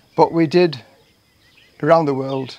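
Moderate-paced speech from a man, light noise behind. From northeast England. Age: 60s. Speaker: retired firefighter, vlogger. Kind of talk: vlog monologue. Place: garden. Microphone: phone near.

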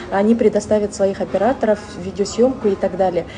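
A woman talks at a very fast pace. Background noise is noticeable. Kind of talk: personal testimony vlog. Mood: joyful, excited. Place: home room. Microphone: phone near.

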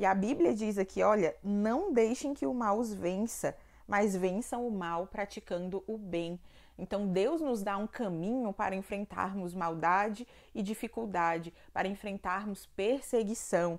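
The speaker moves at a fairly slow pace with ordinary pitch variation over a quiet background. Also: woman. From Ceará, Brazil. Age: 20s. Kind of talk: devotional Bible reflection to camera. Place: home room. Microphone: lapel.

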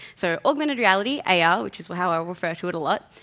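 A woman talks at a very fast pace. Her tone is bright and sharp. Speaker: conference speaker. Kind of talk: conference talk. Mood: light, joking. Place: hall.

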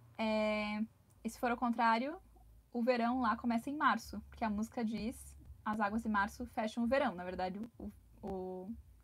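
A somewhat breathy woman at a fairly high pitch, moderate in pace with fairly even intonation and long, frequent pauses. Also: big swings in loudness. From Brazil. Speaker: travel vlogger. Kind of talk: live stream chat. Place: home room. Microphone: lapel.

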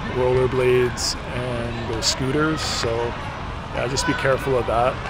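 Loud background noise surrounds a man talking at a moderate pace, his sound dry with no echo. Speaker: travel vlogger. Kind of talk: casual vlog chat. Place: street. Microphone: phone near.

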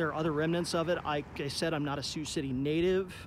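With light background noise behind him, a man speaks at a fairly quick pace with fairly even intonation. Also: dry sound with no echo. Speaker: vlogger documenting an abandoned plant. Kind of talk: casual vlog chat. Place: street. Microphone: phone near.

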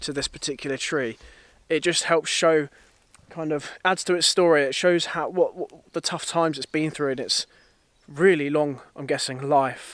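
A man talks at a moderate pace with fairly even intonation. The sound is dry with no echo, and the background is quiet. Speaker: landscape photographer vlogger. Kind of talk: casual vlog chat. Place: forest. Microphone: phone near.

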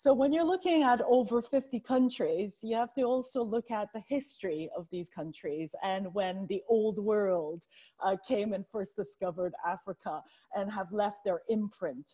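A woman speaks with lively intonation at a moderate pace. The background is quiet. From Canada, Chinese heritage. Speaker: banking lawyer. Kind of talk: panel discussion. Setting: Zoom video call. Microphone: earbuds.

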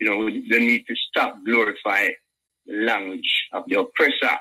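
A man's voice in a dry, close recording with no echo. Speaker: caller. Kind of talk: call-in debate. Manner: halting.

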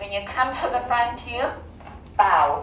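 The speaker keeps a moderate pace with ordinary pitch variation, amid audible room echo and light background noise. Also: woman. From South Africa. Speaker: English teacher. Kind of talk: classroom teaching to young learners. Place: classroom.

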